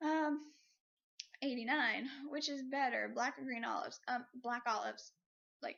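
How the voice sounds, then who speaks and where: A woman speaks at a moderate pace. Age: 20s. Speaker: vlogger. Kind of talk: casual tag video monologue. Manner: hesitant, many fillers.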